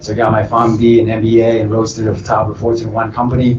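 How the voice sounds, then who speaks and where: A man rattles along at a very fast pace in a medium pitch with monotone, flat intonation. Noticeable background noise is present. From Vietnam. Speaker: real estate entrepreneur. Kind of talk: panel self-introduction.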